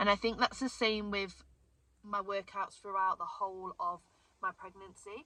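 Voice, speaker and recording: In an ordinary speaking voice, a woman talks at a moderate pace with medium pitch and fairly even intonation. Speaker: fitness coach and vlogger. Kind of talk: casual vlog Q&A.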